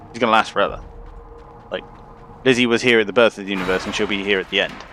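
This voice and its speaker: Over music in the background, a man talks at a very fast pace in a fairly low, monotone, flat voice. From England. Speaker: game streamer. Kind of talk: casual live-stream commentary. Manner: casual, filler-heavy rambling speech.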